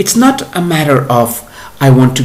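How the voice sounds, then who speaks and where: Audible room echo and noticeable background noise around a man speaking at a fairly slow pace. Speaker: spiritual teacher. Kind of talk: monologue. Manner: halting.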